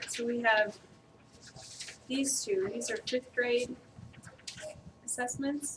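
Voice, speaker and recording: A soft-spoken woman speaks at a high pitch with fairly even intonation. Her pace is very slow, with long, frequent pauses. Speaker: trainer. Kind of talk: training presentation. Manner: hesitant, many fillers.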